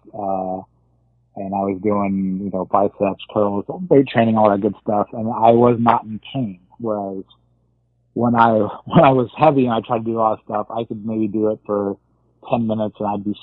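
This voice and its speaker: This man has an unremarkable speaking voice, fairly low in pitch, with fairly even intonation and a moderate pace. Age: 30s. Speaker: weight loss surgery patient sharing his story. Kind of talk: casual interview.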